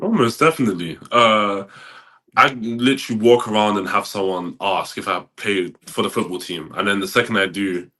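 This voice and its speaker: A man talks at a moderate pace in a fairly low voice with a bright, sharp tone and ordinary pitch variation. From England (South London). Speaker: college football player. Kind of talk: podcast interview. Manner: halting, many fillers and repeats.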